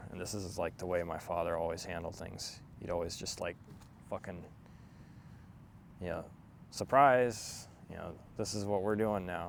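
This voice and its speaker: A man's very deep, low voice with long, frequent pauses and audible room echo. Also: ordinary pitch variation, moderate pace. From Germany, moved to America as a child. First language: German. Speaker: vlogger. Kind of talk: personal monologue. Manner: halting, many fillers.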